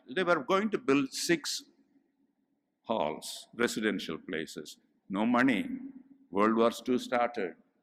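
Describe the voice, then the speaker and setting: A man with a medium-pitched voice and vocal fry speaks very slowly, his pitch swinging very widely, with long, frequent pauses. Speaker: professor. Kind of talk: commemorative address with slides.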